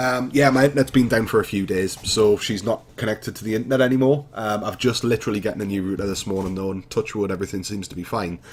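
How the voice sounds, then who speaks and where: Very fast speech from a man with a Geordie accent, fairly low in pitch, with ordinary pitch variation. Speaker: gaming YouTuber. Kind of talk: casual chat; let's play commentary. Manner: hesitant, many fillers.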